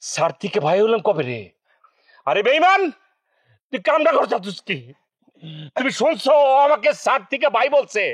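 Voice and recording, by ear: A man puts on a character voice, extremely high-pitched with a fairly bright tone and a slightly husky edge. He moves at a moderate pace with big pitch swings and long, frequent pauses.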